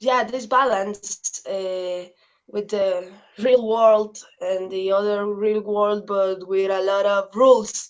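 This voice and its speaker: A woman with a Spanish accent speaks very slowly in a monotone, flat intonation. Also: medium pitch for a woman. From Mexico, Veracruz. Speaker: activist and journalist. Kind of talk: interview. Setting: video call. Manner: halting.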